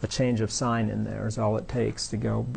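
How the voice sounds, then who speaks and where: This man has a normal speaking voice, with medium pitch and a moderate pace. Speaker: university lecturer. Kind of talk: lecture. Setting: classroom with students.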